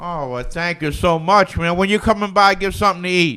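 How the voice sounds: A man's high, bright, sharp voice with a Louisiana accent, at a fairly quick pace with ordinary pitch variation. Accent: Louisiana Southern.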